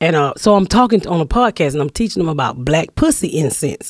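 Against a quiet background with a dry sound and no echo, a woman talks at a very fast pace with very wide pitch swings. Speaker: comedian. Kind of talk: casual chat. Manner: loud, carrying voice. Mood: playful, amused storytelling. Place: studio. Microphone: studio mic.

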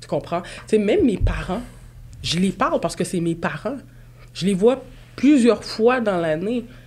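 Speaking in a Quebec accent, the voice has lively intonation broken by long, frequent pauses. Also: woman. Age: 20s. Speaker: real estate broker and podcast host; podcast host. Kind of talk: casual chat. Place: studio. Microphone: studio mic.

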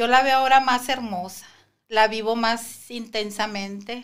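Very slowly, a woman speaks in a fairly high pitch with fairly even intonation. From Sinaloa, Mexico (Guasave); Sinaloa, Mexico. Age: 50s. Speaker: preschool teacher and cancer survivor; podcast guest. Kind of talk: testimony. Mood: reflective, grateful. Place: studio. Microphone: studio mic.

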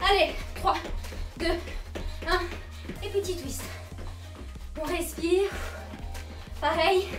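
Over clear background music, a woman with an extremely high-pitched voice speaks very slowly in a flat monotone, leaving long, frequent pauses. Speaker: fitness instructor. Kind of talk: workout coaching. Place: home room. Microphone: camera far.

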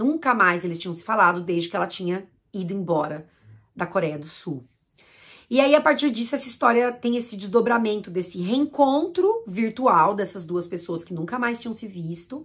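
At a moderate pace against a quiet background, a woman with a medium pitch speaks with lively intonation and big swings in loudness. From Brazil. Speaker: YouTuber discussing language and films; YouTuber discussing language. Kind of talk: casual monologue to camera. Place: home room.

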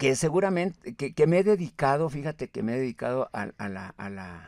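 A man's voice with very wide pitch swings, dry with no echo, over a quiet background. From Mexico, Michoacán (raised in Apatzingán); Michoacán, Mexico. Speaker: writer and poet; poet. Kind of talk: interview. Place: studio. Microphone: studio mic.

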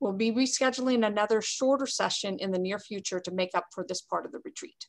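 A woman speaks fairly quickly, and the background stays quiet. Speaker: port official giving report. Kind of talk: meeting report. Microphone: video call.

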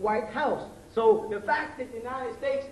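Audible room echo, a moderate pace, and light background noise. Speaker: lecturer. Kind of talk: lecture. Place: stage. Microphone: podium.

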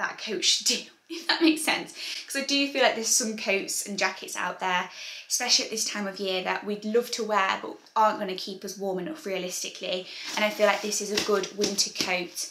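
Audible room echo surrounds speech delivered at a fairly quick pace with big swings in loudness. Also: woman. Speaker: fashion vlogger. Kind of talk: casual vlog chat. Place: home room.

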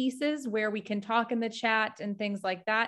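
A woman with an American accent talks at a moderate pace with fairly even intonation. The background is quiet. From US Midwest. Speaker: mental health nonprofit staff presenter. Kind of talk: educational workshop presentation. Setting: video call. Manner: casual, frequent filler words. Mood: warm, friendly. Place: home room. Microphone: video call.

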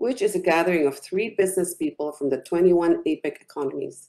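A woman in a dark, mellow tone at a moderate pace, with lively intonation. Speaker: business executive; business council representative, panel commenter. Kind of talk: panel commentary. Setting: video call. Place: home room. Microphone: webcam.

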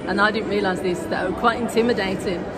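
Crowd noise in the background accompanies a woman speaking. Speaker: food vlogger. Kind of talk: casual vlog chat. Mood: cheerful, smiling. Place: street. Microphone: phone near.

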